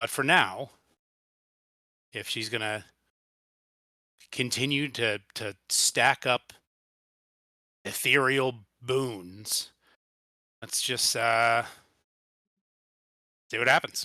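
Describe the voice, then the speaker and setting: Using a put-on character voice, a man sounds raspy at a medium pitch with fairly even intonation. He goes at a very slow pace with long, frequent pauses. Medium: actual play. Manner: dry, blunt, pragmatic.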